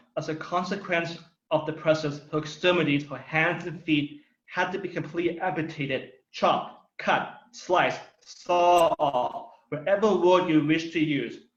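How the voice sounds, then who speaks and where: Speaking at a moderate pace, a man uses a high pitch and fairly even intonation. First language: Thai. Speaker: political speaker. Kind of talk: prepared speech.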